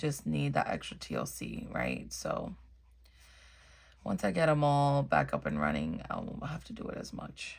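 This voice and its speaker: Soft-spoken delivery at a moderate pace. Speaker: coloring video creator. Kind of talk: casual chat.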